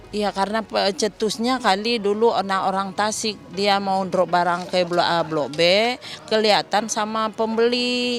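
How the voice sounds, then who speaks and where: A woman with a Minang accent, medium in pitch with ordinary variation, talking at a fairly slow pace with hardly any pauses over music in the background. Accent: Minang accent noticeable. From West Sumatra (Minangkabau). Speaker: market trader. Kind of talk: street interview.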